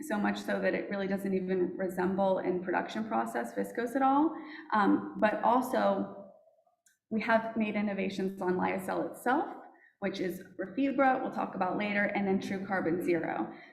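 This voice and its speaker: This woman talks at a moderate pace. Room echo can be heard around her voice. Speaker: fiber company representative. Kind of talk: conference presentation.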